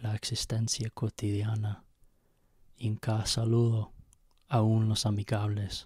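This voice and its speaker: A man talks at a very slow pace in a medium pitch, with monotone, flat intonation. His voice is somewhat breathy, and the sound is dry with no echo over a quiet background. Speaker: poet reading own poem. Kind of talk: poem reading. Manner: slow, measured, halting with hesitations. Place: home room. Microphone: handheld.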